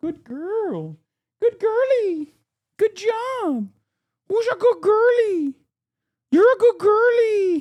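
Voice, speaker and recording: A squeaky put-on character voice at an extremely high pitch, very slow, with long, frequent pauses. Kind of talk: dog-praise voice. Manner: sweet, praising.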